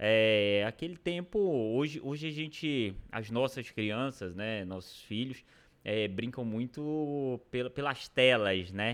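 A man talks at a very slow pace with lively intonation at a medium pitch. The recording is very clean, with a silent background. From Pará, Brazil (interior, near Maranhão border). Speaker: mayor and physician. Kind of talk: casual interview.

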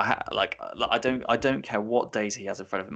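A man with an English accent talks at a fairly quick pace in a bright, sharp tone. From England. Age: 20s. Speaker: football podcast co-host. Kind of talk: casual panel discussion. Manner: animated, repetitive restarts.

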